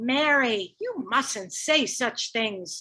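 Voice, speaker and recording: Using a put-on character voice, a woman speaks high in her range with lively intonation. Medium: stage play. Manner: hushed, embarrassed.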